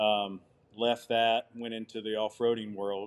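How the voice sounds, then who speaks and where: A man's fairly low, monotone voice with flat intonation at a fairly slow pace. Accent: Southern US. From US South. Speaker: outdoor adventure company owner. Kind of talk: podcast interview.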